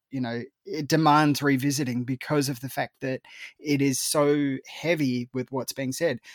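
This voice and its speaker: A man with an Australian accent, fairly high pitch, monotone, flat intonation and a fairly slow pace, in a dry, close sound with no echo. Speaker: film critic. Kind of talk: casual chat.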